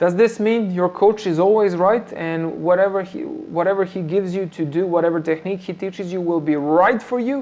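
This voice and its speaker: Hardly any pauses break up the fairly quick pace of this speech. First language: Serbian. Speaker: MMA coach. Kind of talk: live stream Q&A talk. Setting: live stream on phone camera. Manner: halting, many fillers and repetitions. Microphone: phone front-facing camera, not ideal setup.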